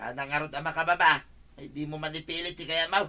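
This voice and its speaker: The speaker uses a put-on character voice at a middle pitch. The pace is fairly quick. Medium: audio drama. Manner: whiny, defensive.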